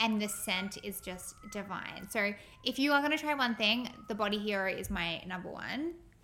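A woman with an Australian accent speaks at a moderate pace and a fairly high pitch. Her tone is bright and sharp, and her intonation is lively. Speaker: podcast co-host. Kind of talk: casual chat.

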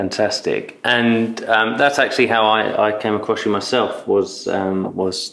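In a British accent, a man speaks fairly slowly at a fairly low pitch with monotone, flat intonation against noticeable background noise. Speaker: podcast host. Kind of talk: interview, conversational.

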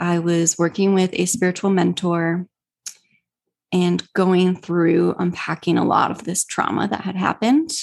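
Speaking fairly slowly in an American accent, a woman uses an ordinary speaking voice with a fairly low pitch and fairly even intonation. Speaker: spiritual healer and coach. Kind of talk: casual interview chat.

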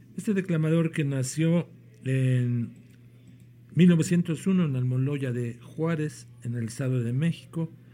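A man with a Mexican accent speaks at a very slow pace and a fairly high pitch. Music plays in the background. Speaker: podcast host. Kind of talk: casual podcast hosting with introductions. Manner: halting, with fillers and repetitions.

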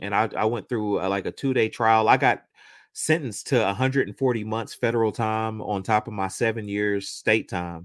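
Speaking in an American accent with an ordinary speaking voice, a man uses fairly even intonation at a moderate pace and a fairly low pitch. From Oklahoma. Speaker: musician and marketer. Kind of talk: interview testimony. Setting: video call.

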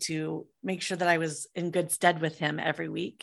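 Against a quiet background, a woman with an American accent speaks at a moderate pace, her pitch fairly low with ordinary variation. She has a plain, everyday voice. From US Midwest (Iowa). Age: 50s. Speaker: entrepreneur, musician and author. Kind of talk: casual interview chat.

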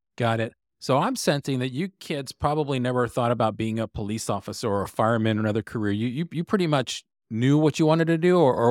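A man speaks at a very fast pace with an American accent, his pitch medium and its variation ordinary. The sound is dry and close with no echo, on a very clean recording with a silent background. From Texas. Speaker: guest podcast host, interviewer. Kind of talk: interview.

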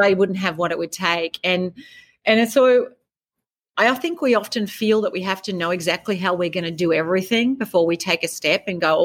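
Talking at a very fast pace with ordinary pitch variation, the voice comes through a very clean recording with a silent background and a dry, close sound free of echo. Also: woman. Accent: Australian. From rural Australia. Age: 50s. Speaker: author and life coach. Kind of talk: interview.

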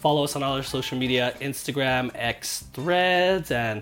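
Music plays behind a man whose fairly high voice carries lively intonation. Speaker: sports podcast co-host. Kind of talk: casual chat.

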